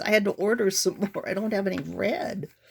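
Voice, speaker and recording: The woman's voice is medium in pitch and somewhat breathy. She talks at a fairly slow pace. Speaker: journal maker and seller. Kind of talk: show-and-tell product walkthrough. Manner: chatty, halting with fillers; animated.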